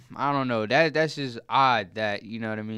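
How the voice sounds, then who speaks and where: A man with an American accent, bright and sharp in tone, fairly even in intonation, at a moderate pace. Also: very clean recording, silent background. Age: 20s. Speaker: podcast co-host. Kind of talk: casual chat.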